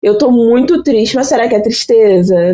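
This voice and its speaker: A woman with a Rio de Janeiro accent. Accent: Rio de Janeiro (carioca) Brazilian Portuguese. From Brazil, Baixada Fluminense (Rio de Janeiro). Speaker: invited psychology expert. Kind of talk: podcast conversation.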